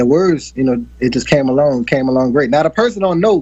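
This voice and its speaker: A man with a slight country accent talks at a fairly quick pace, his fairly high, dark, mellow voice showing ordinary pitch variation. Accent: slight country twang. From New Orleans, Fifth Ward (Treme). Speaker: R&B singer. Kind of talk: interview.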